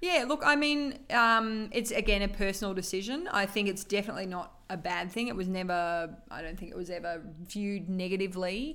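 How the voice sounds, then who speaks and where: In a room with audible echo, a woman with an Australian accent speaks at medium pitch and a moderate pace, her tone bright and sharp with ordinary pitch variation. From Australia, regional northern Victoria (Shepparton). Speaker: cardiology doctor. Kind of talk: interview. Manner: hesitant, many fillers.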